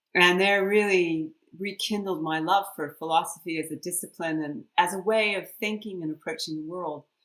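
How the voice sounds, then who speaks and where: An ordinary speaking voice: a woman with a fairly low pitch and an American accent, at a moderate pace with hardly any pauses, fairly even intonation and big swings in loudness. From US East Coast (Washington DC, then Maine). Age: 60s. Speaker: leadership scholar. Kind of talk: podcast interview.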